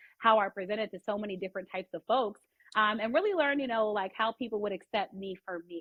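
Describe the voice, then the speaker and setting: A woman with an American accent talks at a very fast pace, her fairly high pitch showing ordinary variation. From US, DC area. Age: 30s. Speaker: sports reporter. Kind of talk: podcast interview. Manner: animated.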